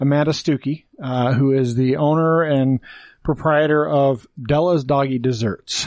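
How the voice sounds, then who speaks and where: A man's fairly high-pitched, plain, everyday voice with very even loudness and fairly even intonation, on a very clean recording with a silent background. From Wyoming (born in Texas). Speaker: podcast host. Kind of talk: casual chat.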